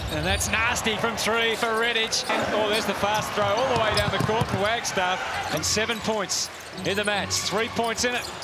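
Loud background noise sits under a moderate-paced voice with a dry sound and no echo. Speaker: basketball commentator. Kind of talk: live sports commentary. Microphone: headset.

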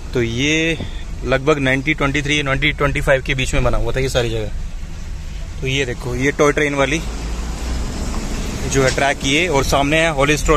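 The sound is dry with no echo, though background noise is noticeable. A man speaks at a fairly slow pace in monotone, flat intonation. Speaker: travel vlogger. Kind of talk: casual vlog chat. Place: car. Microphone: phone near.

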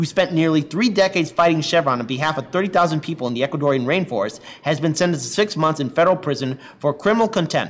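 A man's very fast speech with hardly any pauses. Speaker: online news show host. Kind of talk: news commentary and article reading. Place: office.

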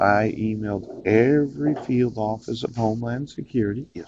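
A man speaks with ordinary pitch variation. Light background noise is present, and the sound is dry with no echo. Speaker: self-recording commentator. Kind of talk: casual vlog monologue. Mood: wry, argumentative. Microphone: earbuds.

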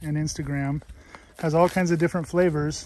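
The sound is dry, with no echo. Light background noise is present. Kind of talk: casual vlog chat. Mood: relaxed, pleased. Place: open country. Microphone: phone near.

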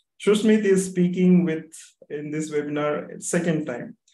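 In a room with audible echo, a man with a dark, mellow tone speaks at a moderate pace with ordinary pitch variation. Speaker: webinar host. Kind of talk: speaker introduction. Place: home room. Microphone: video call.

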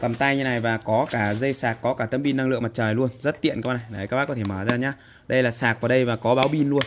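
Talking at a very fast pace with fairly even intonation, a man is heard over light background noise. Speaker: seller showing goods. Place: shop. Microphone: phone near.

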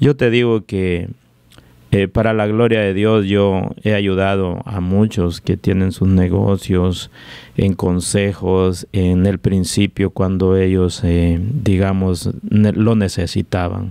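Speech at a very slow pace carries a dark, mellow tone and fairly even intonation. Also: man, very deep, low pitch for a man. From Guatemala, Jutiapa (eastern). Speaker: restaurant owner. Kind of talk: interview.

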